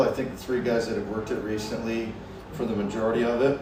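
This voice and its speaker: The man's delivery is extremely rapid. The room echoes audibly, and background noise is clearly present. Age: 40s. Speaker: rodeo bullfighter. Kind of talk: casual chat. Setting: barbershop. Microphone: no lavalier mics, poor audio quality.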